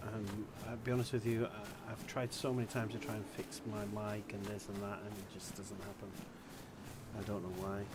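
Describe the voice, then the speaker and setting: Noticeable background noise and audible room echo surround a man's fairly low voice. He speaks fairly quickly in a flat monotone. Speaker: gaming streamer. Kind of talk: live gameplay commentary. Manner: quiet; hesitant, filler-heavy. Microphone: quiet mic.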